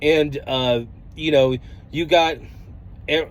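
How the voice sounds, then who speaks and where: Speaking with an American accent, a man has a fairly high-pitched voice. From US, Denver, Colorado. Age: 30s. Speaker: trucker vlogger. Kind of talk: vlog monologue. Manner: casual, halting with fillers.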